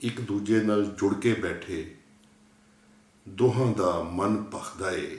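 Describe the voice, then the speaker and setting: Somewhat breathy, a man speaks with a fairly low pitch and fairly even intonation. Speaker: poet reading his own poem. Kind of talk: poetry reading.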